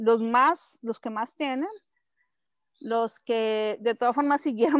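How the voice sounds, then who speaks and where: Her intonation fairly even, a woman speaks at a fairly slow pace and a fairly high pitch. The sound is dry and close with no echo, over a quiet background. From Colombia, Bogotá. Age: 40s. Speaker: activist and communicator. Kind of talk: interview conversation. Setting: home in the countryside.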